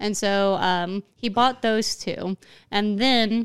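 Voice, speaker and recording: Speaking with a Southern US accent, a woman has a fairly high pitch. The recording is very clean and silent in the background, dry and close with no echo. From Arkansas. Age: 20s. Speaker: podcast host. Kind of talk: casual chat.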